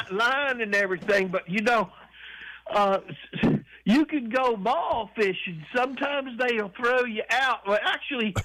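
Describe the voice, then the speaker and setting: A raised, projected voice with a bright, sharp tone, ordinary pitch variation and a moderate pace. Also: man, extremely high pitch for a man. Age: 70s. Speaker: caller. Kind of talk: phone-in call. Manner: halting, stammering.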